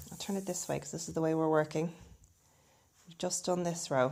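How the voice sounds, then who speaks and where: With an Irish accent, a woman speaks at a fairly low pitch in a dark, mellow tone marked by vocal fry. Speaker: crochet instructor. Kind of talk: craft tutorial to camera.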